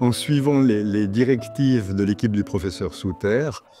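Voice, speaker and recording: A man speaks at a moderate pace with a fairly low pitch and ordinary pitch variation. Music plays in the background, and the sound is dry and close with no echo. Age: 60s. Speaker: retired journalist, patient. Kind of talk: interview testimony. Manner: hesitant, with fillers.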